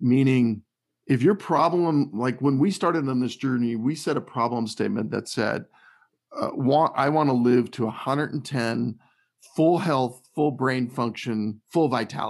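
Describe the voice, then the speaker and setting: A man's medium-pitched, plain, everyday voice at a moderate pace, with ordinary pitch variation. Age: 50s. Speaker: health and lifestyle author. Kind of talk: casual interview.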